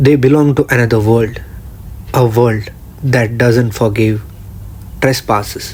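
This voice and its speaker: Fairly slow, fairly even speech from a man at a medium pitch, with long, frequent pauses, very even loudness and noticeable background noise. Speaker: horror and folklore narrator. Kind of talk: horror story narration, spooky storytelling.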